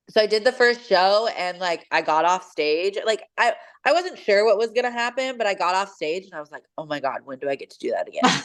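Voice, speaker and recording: A woman with a West Coast accent, fairly quick with hardly any pauses, her pitch swinging very widely. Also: medium pitch for a woman. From Washington State, US. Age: 30s. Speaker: bikini bodybuilding competitor and coach. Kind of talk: interview. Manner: casual, many fillers.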